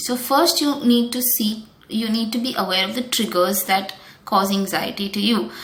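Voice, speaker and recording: A woman talks at a moderate pace with a fairly high pitch. Noticeable background noise and audible room echo surround her voice. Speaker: wellness coach. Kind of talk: tutorial. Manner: calm; hesitant.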